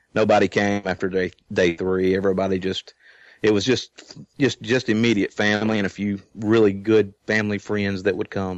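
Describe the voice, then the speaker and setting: A man with a Southern US accent, fairly low-pitched, at a moderate pace, in a flat monotone. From Louisiana. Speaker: guest. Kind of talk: casual conversation. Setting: internet call.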